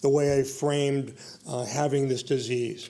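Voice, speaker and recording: In a Boston accent, a man with a fairly high pitch speaks at a fairly slow pace against noticeable background noise. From Boston, Irish-American. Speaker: speaker giving a talk. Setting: stage.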